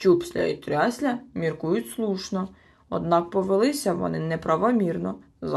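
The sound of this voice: The speaker uses an unforced reading voice. The reading sounds unforced throughout.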